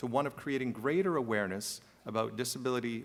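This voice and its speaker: A man speaks at a fairly quick pace with a slight French Canadian accent. His pitch varies in an ordinary way. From Quebec / French Canada. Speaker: workers' compensation executive, panelist. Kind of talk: conference panel talk. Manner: fast.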